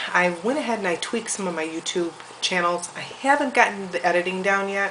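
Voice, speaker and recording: Over noticeable background noise, a woman speaks at a fairly quick pace with a medium pitch and ordinary pitch variation. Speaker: homesteader. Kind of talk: casual talk to camera. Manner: rambling, hesitant.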